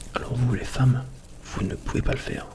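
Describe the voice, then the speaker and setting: A man whispers over noticeable background noise. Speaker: ASMR YouTuber. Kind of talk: ASMR soft spoken talk to camera. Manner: soft-spoken.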